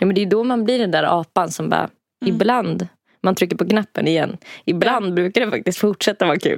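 Speaking at a fairly quick pace, a woman shows vocal fry and ordinary pitch variation in a dry, close sound with no echo. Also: medium pitch for a woman. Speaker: podcast co-host. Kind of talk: casual chat. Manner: giggly.

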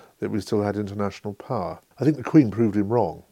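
On a very clean recording with a silent background, a man speaks very fast in a fairly low, dark, mellow voice with fairly even intonation. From England. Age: 60s. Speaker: historian and author. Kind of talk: interview.

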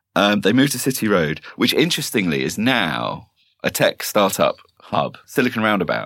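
This man talks at a moderate pace with vocal fry. His pitch swings very widely. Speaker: podcast co-host. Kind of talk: casual chat.

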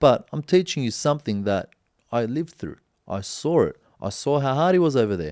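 Speaking at a fairly quick pace with lively intonation, a man in an Australian accent has a fairly high pitch. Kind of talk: casual chat.

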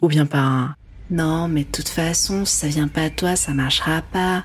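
With a very deep, low pitch, a woman speaks in fairly even intonation. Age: 20s. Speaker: podcast host. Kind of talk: personal narration.

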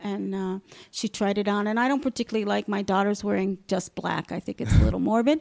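Recorded very cleanly against a silent background with a dry, close sound and no echo, a woman speaks in an unremarkable speaking voice of medium pitch, with ordinary pitch variation and an American accent. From US Northeast (Long Island, New York). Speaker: adoptive mother. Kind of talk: interview testimony.

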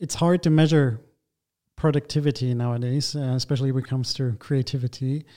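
A man's dark, mellow tone at a medium pitch, with fairly even intonation. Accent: German. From Germany. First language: German. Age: 30s. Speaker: architect and interior design lead. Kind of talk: interview. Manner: halting, many fillers.

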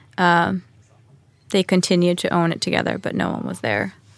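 A woman with a Swedish accent at a moderate pace, in a very clean recording with a silent background. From Stockholm, Sweden. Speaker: podcast guest, homesteader. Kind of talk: interview.

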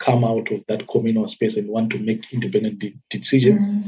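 A man's somewhat breathy voice at medium pitch, with fairly even intonation and a fairly quick pace. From Zimbabwe. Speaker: development worker. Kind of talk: interview. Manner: hesitant, many fillers.

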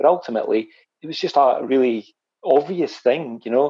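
This man has an ordinary speaking voice at a medium pitch. He speaks at a fairly quick pace with ordinary pitch variation. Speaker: podcast host. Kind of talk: casual interview.

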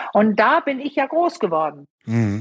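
A woman speaks at a very slow pace. Her pitch sits fairly high. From Denmark. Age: 50s. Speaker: sexologist and couples therapist. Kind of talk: interview.

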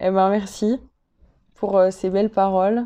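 Very slowly, a woman speaks with fairly even intonation. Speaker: podcast host. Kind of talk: interview.

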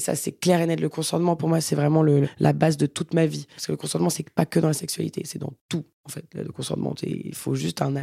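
A woman speaks very fast, with hardly any pauses. The sound is dry and close, with no echo. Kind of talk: casual chat.

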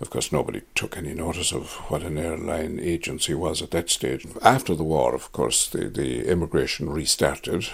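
With a Kerry accent, a man talks at a moderate pace with hardly any pauses, his very deep, low pitch showing vocal fry and ordinary pitch variation. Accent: Kerry Irish. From Ireland, Tralee, County Kerry. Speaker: retired tour operator. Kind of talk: interview. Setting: at home. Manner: halting, many hesitations.

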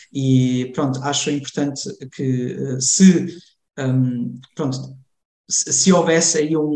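A man speaks with a somewhat breathy voice. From Germany, Cologne, Portuguese parents from Lamego. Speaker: community association member. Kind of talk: interview conversation. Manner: halting, many fillers and repetitions.

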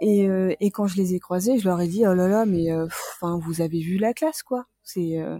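Speech comes at a moderate pace with hardly any pauses and ordinary pitch variation, in a dry, close sound with no echo. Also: woman, medium pitch for a woman. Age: 30s. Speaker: graphic designer and school teaching assistant. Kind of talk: casual interview, personal story. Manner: hesitant, many fillers.

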